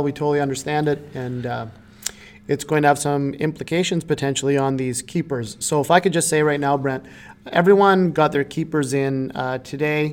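A man speaks in a normal speaking voice, fairly high-pitched for a man, at a fairly quick pace with fairly even intonation. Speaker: fantasy hockey podcast co-host. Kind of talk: casual chat.

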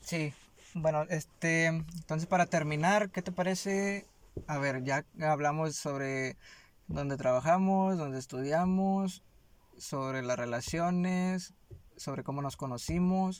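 Speaking very slowly, a man with a fairly high pitch uses ordinary pitch variation on a very clean recording with a silent background. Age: 20s. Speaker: podcast co-host, student and warehouse worker. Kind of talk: casual chat.

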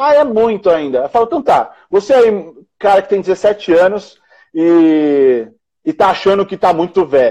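With a dark, mellow tone, a man speaks in a high pitch that moves in very wide swings. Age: 30s. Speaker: entrepreneur, founder and CEO. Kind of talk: casual chat on a live stream. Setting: Instagram live video call on a phone.

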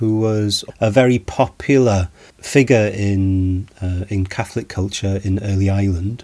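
With a Welsh accent, a man speaks at a fairly low pitch in a dark, mellow tone. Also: fairly even intonation, fairly slow pace, very clean recording, silent background. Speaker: lecturer on Celtic mythology. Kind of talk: lecture. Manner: measured, hesitant with fillers.

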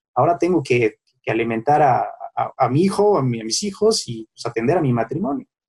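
A man's fairly high, somewhat breathy voice with very wide pitch swings, at a fairly quick pace, in a dry, close sound with no echo. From Mexico City. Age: 30s. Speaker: lawyer, son of a late sports legend. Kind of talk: interview.

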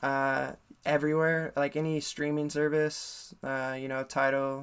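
His intonation stays monotone and flat. The man talks with an American accent. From US Midwest, Ames, Iowa. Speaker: hip hop musician. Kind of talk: casual interview.

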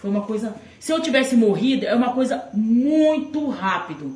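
Her intonation is lively as the woman speaks. Audible room echo and noticeable background noise fill the clip. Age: 40s. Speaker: interviewee, host's mother. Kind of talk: casual chat. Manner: halting.

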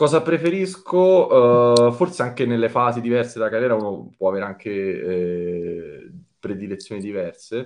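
His pitch sits in the middle range and he talks neither fast nor slow. The man's voice rises and falls across a very wide span. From Italy, Rome. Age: 30s. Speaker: data team manager. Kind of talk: interview. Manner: halting, many fillers.

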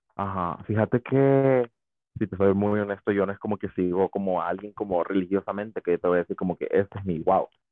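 In a normal speaking voice, a man talks at a fairly quick pace, fairly low in pitch and fairly even in intonation. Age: 20s. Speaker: podcast guest. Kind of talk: casual chat.

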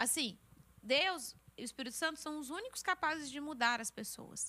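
Projecting her voice, a woman speaks at a moderate pace with a bright, sharp tone and lively intonation. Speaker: youth leader at church. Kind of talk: casual chat. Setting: studio.

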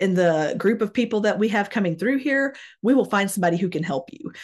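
Woman with an unremarkable speaking voice, medium pitch and lively intonation, over a quiet background. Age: 30s. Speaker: podcast host and author. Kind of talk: casual chat.

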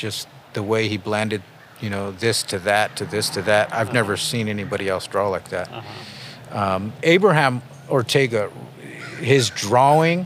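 Over noticeable background noise, a man with an American accent talks at a moderate pace, his fairly low pitch showing ordinary variation. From San Jose, California (North side), Chicano family. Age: 40s. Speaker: tattoo artist. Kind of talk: interview. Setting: outdoors in a park.

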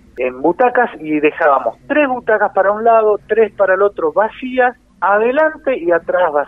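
A man with a Rioplatense accent at a fairly slow pace. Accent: Argentine Spanish (rioplatense). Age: 50s. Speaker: musician, saxophonist. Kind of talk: radio interview.

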